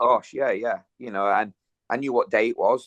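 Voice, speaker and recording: The sound is dry and close, with no echo. A man with a Yorkshire accent talks at a fairly quick pace. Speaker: gym owner and kickboxer. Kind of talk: casual interview, personal testimony.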